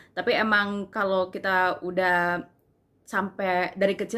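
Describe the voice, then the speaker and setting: This is a woman speaking. Her pitch is medium. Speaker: university student; language tutor. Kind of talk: casual talk to camera. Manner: casual, informal.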